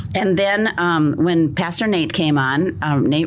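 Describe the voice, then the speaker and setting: Talking at a fairly slow pace, a woman has a very deep, low pitch and ordinary pitch variation, with audible room echo and noticeable background noise. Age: 60s. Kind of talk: podcast interview, personal testimony.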